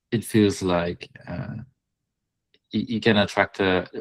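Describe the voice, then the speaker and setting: The recording is dry and close, without any echo. A man talks with a non-native accent. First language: not English. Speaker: Etsy listing reviewer, live session host. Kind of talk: live online listing review. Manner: halting, many fillers.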